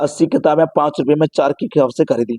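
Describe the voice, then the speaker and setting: A man talks at a moderate pace, his fairly high voice dark and mellow in tone. The sound is dry and close, with no echo. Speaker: math coaching teacher. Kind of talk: tutorial. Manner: loud, straining to be heard.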